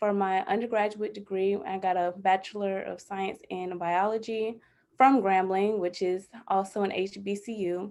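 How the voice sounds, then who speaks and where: A woman with an American accent speaks at a medium pitch in a monotone, flat intonation. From Atlanta, Georgia, US South. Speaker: emerging bioethics scholar. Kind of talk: panel introduction.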